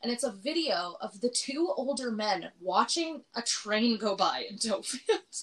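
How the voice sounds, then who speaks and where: In a Canadian accent, a woman with a fairly high pitch speaks with very wide pitch swings. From Alberta, Canada (small town). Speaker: podcast co-host. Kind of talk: casual chat.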